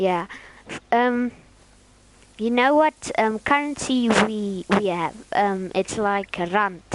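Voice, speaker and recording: A woman's fairly high voice in a South African accent, very slow, with long, frequent pauses and ordinary pitch variation. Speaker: gaming streamer. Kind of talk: casual chat. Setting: live stream. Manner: halting.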